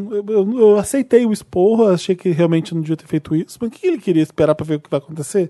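The speaker talks at a very fast pace. The voice comes with a Brazilian accent. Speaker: podcast host. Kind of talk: casual chat. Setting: stage with audience.

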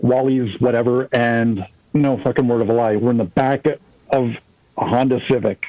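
With an unremarkable speaking voice, a man speaks at a moderate pace and medium pitch, his intonation fairly even and his loudness very even. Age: 40s. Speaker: musician. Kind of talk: casual chat.

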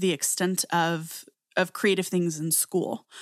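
The speaker is a woman with an American accent, pitched at a medium level. The recording is very clean, with a silent background. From very small US town. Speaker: podcast co-host. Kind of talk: casual chat.

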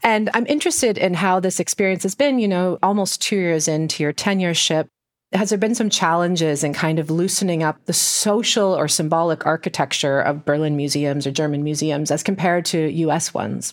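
With a normal speaking voice, the speaker moves at a fairly quick pace with hardly any pauses and ordinary pitch variation in a very clean recording with a silent background. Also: woman, fairly low pitch for a woman, very even loudness. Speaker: podcast host. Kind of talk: interview.

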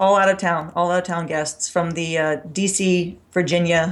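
A woman's fairly low voice with an American accent, a normal speaking voice with ordinary pitch variation at a moderate pace, on a very clean recording with a silent background. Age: 40s. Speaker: gym owner and strength coach. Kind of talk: interview.

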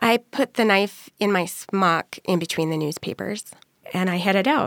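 A woman talks at a moderate pace and medium pitch with ordinary pitch variation, in a normal speaking voice. The sound is dry and close, with no echo. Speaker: storyteller. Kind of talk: personal story.

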